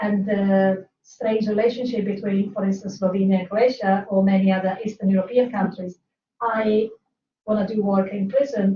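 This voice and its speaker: Somewhat breathy, a woman speaks at a moderate pace in a medium pitch with monotone, flat intonation. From Italy. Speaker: criminology researcher. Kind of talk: seminar discussion. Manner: halting.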